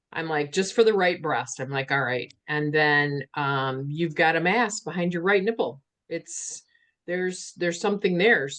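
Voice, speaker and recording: A woman has an ordinary speaking voice, fairly low in pitch, with lively intonation. The background is quiet. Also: moderate pace. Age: 60s. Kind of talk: casual chat.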